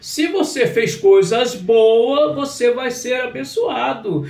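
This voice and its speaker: A man speaks at an extremely high pitch with very wide pitch swings, and audible room echo surrounds his voice. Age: 60s. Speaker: pastor. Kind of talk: sermon. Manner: repetitive, emphatic.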